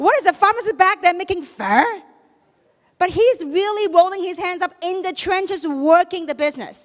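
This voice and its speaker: This woman has an extremely high pitch and an animated tone. She keeps a moderate pace with ordinary pitch variation. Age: 50s. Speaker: network marketing leader. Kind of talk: motivational stage talk. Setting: stage with audience.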